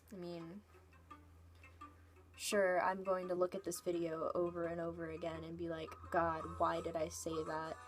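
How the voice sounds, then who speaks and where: Music plays in the background as a woman talks at a moderate pace. She leaves long, frequent pauses. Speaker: vlogger. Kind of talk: casual vlog rant.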